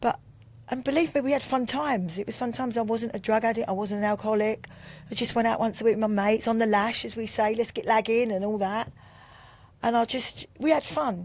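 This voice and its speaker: Speaking very fast in a Cockney accent, a woman uses a fairly high pitch with ordinary pitch variation. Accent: London Cockney. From Bermondsey, London. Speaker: recovering addict. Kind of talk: testimony.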